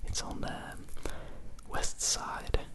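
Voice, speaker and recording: A soothing whisper over noticeable background noise. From Norway. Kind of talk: casual talk to camera, vlog. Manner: whispered, soothing.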